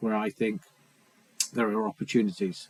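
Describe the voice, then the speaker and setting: A man talking at a fairly quick pace, dry and close with no echo, over noticeable background noise. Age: 50s. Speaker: vlogger sharing recovery story. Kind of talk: personal testimony to camera. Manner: hesitant, many fillers.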